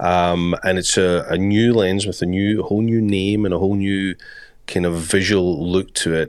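A man speaks at a moderate pace in a very deep, low voice with a Scottish accent, his intonation monotone and flat. The recording is very clean with a silent background, and his loudness stays very even. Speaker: podcast co-host. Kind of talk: casual chat.

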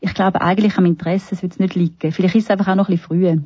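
A woman speaks at a medium pitch, somewhat breathy. Her intonation stays fairly even. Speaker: palliative care physician. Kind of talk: interview.

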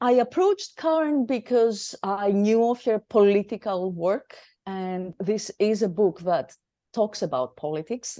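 A woman with a Greek accent speaks in a dark, mellow tone at medium pitch and a fairly slow pace, with lively intonation, a quiet background, and a dry, close sound with no echo. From Greece. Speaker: theatre director and academic. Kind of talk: interview. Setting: studio.

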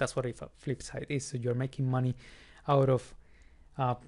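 Talking at a fairly quick pace, a man with a non-native accent keeps a medium pitch and a monotone, flat intonation. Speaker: podcast host. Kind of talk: solo educational podcast. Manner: informal, conversational.

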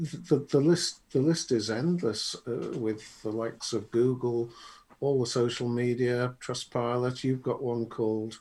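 This man talks at a fairly slow pace in a medium pitch, his dark, mellow tone showing ordinary pitch variation. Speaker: podcast co-host, marketing consultant. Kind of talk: casual chat. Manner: joking, bantering.

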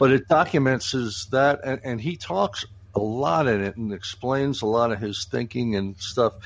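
Ordinary pitch variation and a moderate pace in an ordinary speaking voice. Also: man, medium pitch for a man. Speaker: podcast host. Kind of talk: casual chat.

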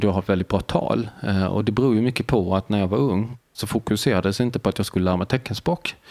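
A man with a normal speaking voice talks at a fairly quick pace. His pitch is fairly low, with ordinary variation. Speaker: deafblind artist, author and lecturer. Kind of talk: casual interview. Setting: hotel.

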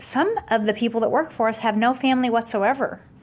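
The speaker has a plain, everyday voice with fairly even intonation. The pace is moderate. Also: woman. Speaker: company founder and CEO. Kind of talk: interview conversation.

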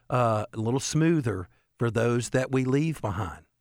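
Recorded very cleanly against a silent background, with a dry, close sound and no echo, a man with a normal speaking voice and medium pitch talks at a moderate pace. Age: 60s. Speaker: elder law and estate planning attorney, radio co-host. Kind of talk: radio talk show, informational chat.

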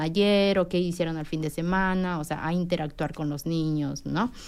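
A woman speaks fairly slowly in a flat monotone. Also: very clean recording, silent background. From Peru. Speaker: preschool teacher. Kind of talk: radio interview.

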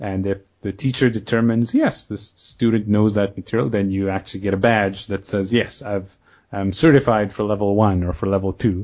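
Here a man has an unremarkable speaking voice with a fairly low pitch. He talks at a fairly quick pace with fairly even intonation. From Kenya and Canada. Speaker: podcast host and online language course founder. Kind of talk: casual interview, being interviewed.

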